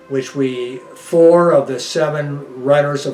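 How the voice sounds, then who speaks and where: Over music in the background, a man with an American accent speaks at a fairly high pitch in a flat monotone. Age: 80s+. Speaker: retired runner. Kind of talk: documentary interview. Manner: halting.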